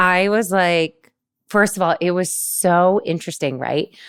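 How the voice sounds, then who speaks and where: A woman with an unremarkable speaking voice talks fairly slowly at a medium pitch, on a very clean recording with a silent background. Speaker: podcast host. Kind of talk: podcast interview conversation.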